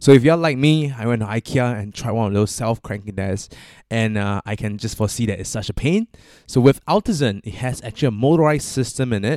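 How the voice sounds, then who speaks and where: Over a very clean recording with a silent background and a dry, close sound with no echo, a man with an unremarkable speaking voice talks at medium pitch and a fairly quick pace with lively intonation. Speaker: podcast host. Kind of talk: scripted intro and ad read.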